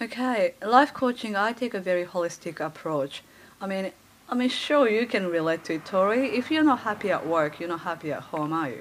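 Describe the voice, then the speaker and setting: Over noticeable background noise, a woman with a Japanese accent speaks at a fairly quick pace in a medium pitch that swings very widely. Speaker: life coach. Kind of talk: podcast interview.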